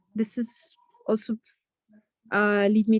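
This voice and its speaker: The speaker talks with an Arabic accent. The sound is dry and close with no echo. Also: woman. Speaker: student in online leadership program. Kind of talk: feedback in video call class. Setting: video call. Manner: halting, many fillers.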